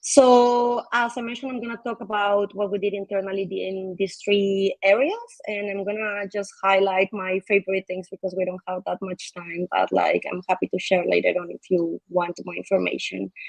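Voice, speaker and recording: A woman with a medium pitch talks with hardly any pauses and fairly even intonation, her loudness swinging widely in a dry, close sound with no echo. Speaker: foundation team member presenting community and regulatory work. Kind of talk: online event presentation. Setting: livestream with chat comments. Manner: fast.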